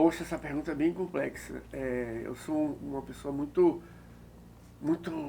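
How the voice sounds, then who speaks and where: This man's fairly high voice moves at a fairly slow pace. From Bahia, Brazil (Recôncavo). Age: 60s. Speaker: architect and art director. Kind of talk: interview.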